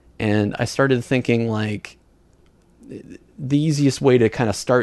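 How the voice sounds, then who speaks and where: A man speaks at medium pitch in an unremarkable speaking voice, with ordinary pitch variation. The background is quiet. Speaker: podcast host. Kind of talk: casual chat.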